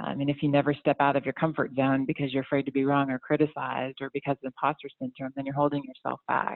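An American accent comes through. The words pour out very fast. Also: woman. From US South, Atlanta area. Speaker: orthopedic surgeon. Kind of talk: interview.

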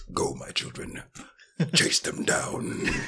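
The voice is a raspy, put-on character voice. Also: man. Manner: dramatic, commanding.

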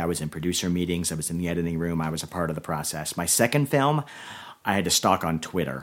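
A man talks at a very deep, low pitch in an American accent. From Florida (Orlando). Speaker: screenwriter. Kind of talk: casual interview chat.

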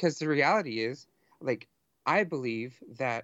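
Here a man talks in a normal speaking voice at a moderate pace. His pitch is medium, with ordinary variation. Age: 30s. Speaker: podcaster with divinity degree. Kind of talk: casual chat.

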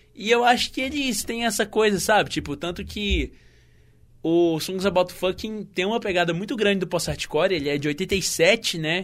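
Fairly slow, lively intonation from a man, very clean recording against a silent background. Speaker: podcast host. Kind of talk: casual solo music podcast. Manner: animated.

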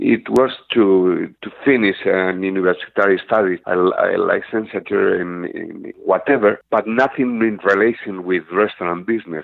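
In a Spanish accent, a man talks with a fairly low pitch. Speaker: restaurant manager. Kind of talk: interview. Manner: halting.

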